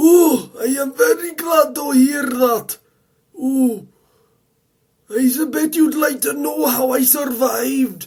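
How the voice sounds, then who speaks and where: A man does a cartoonish character voice at an extremely high pitch, going fairly slowly with long, frequent pauses. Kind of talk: fan-made animated story dialogue.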